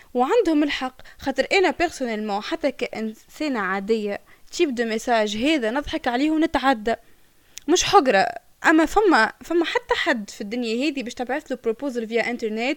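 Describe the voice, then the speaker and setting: A woman's high voice moves with lively intonation, recorded with a dry, close sound and no echo. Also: moderate pace. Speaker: podcast co-host. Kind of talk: casual chat.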